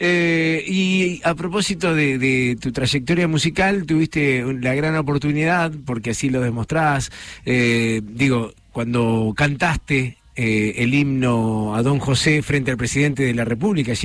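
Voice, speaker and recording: In an unremarkable speaking voice, a man talks at a fairly slow pace with hardly any pauses, his pitch fairly high with ordinary variation and his loudness very even. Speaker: radio host. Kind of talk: radio magazine show, interviews.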